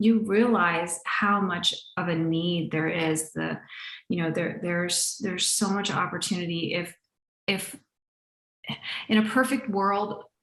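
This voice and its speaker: A woman's fairly low, unremarkable speaking voice, with ordinary pitch variation and a fairly slow pace. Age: 50s. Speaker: podcast host and animal communicator. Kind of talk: casual interview chat.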